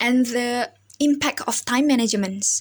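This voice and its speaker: A woman with a non-native accent speaks at a very slow pace. Her pitch is high and varies in an ordinary way. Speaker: university student. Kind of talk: personal story for class assignment. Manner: halting, with self-corrections.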